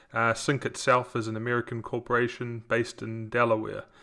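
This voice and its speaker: At a moderate pace, a man with a New Zealand accent speaks at a medium pitch in a bright, sharp tone. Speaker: software company co-founder, former contractor. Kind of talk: webinar presentation. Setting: online webinar.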